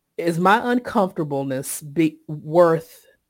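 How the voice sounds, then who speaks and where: A Southern US accent comes through in a very clean recording with a silent background. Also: woman. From Eastern North Carolina, Sampson County. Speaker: mental health workplace consultant. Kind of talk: interview.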